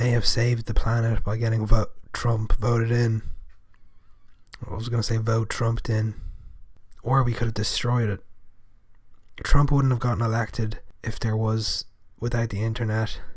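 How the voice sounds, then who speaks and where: Monotone, flat intonation at a moderate pace, somewhat breathy, with long, frequent pauses. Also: man, medium pitch for a man. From Europe, not England or Scotland. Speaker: podcast host. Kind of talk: casual monologue podcast.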